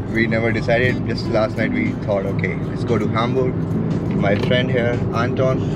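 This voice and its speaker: A man talks at a moderate pace with music in the background. The sound is dry, with no echo. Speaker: travel vlogger. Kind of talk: casual vlog chat. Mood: cheerful, joking. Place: car. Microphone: phone near.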